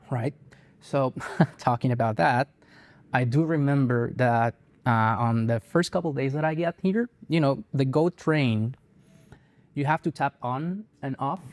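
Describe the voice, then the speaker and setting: A man with a Spanish accent speaks fairly slowly at a fairly high pitch, with ordinary pitch variation. Long, frequent pauses occur, and the recording is very clean with a silent background. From Colombia (Bogota). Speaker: guitarist and music teacher. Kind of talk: interview. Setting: on camera interview. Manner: hesitant, many fillers.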